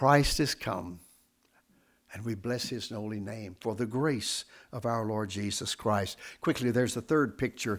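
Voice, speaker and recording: With ordinary pitch variation and a Southern Appalachian accent, the voice comes through on a very clean recording with a silent background. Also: man. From US South. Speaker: pastor. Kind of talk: sermon. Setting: church. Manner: deliberate.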